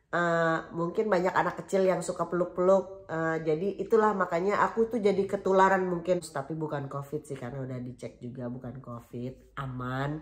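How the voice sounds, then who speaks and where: Against noticeable background noise, a woman with a fairly low pitch talks at a fairly quick pace with hardly any pauses, lively intonation and big swings in loudness. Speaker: vlogger. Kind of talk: casual vlog chat. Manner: chatty, many fillers.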